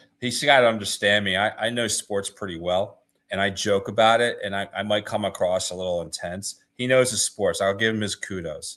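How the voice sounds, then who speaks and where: A fairly low-pitched man in a Philadelphia accent, with fairly even intonation. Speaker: podcast host. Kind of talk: casual chat.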